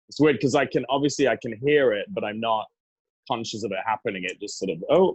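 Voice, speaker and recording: A man talks at a very fast pace with a medium pitch. His voice is somewhat breathy with lively intonation. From Stockport, northern England. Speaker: former boyband singer. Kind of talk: interview. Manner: halting.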